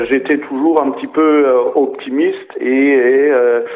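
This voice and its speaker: Speech at a very slow pace and with fairly even intonation comes through audible room echo and noticeable background noise. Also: man. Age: 70s. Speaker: butterfly park founder. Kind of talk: interview.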